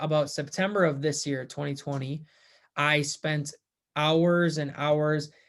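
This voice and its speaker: In a very clean recording with a silent background, a man with an American accent speaks at a moderate pace in a fairly high, monotone, flat voice. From US Midwest, central Minnesota. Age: 20s. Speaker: first-time real estate investor. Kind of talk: personal testimonial vlog. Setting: at home. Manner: casual with fillers and repetitions.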